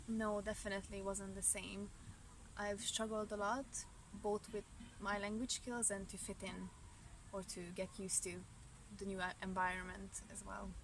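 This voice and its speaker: With a Hungarian accent, a woman speaks at medium pitch in a monotone, flat intonation, leaving long, frequent pauses. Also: moderate pace. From Romania, Hungarian-speaking family. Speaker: student. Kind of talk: interview. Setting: outdoors in a park. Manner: halting, with self-corrections.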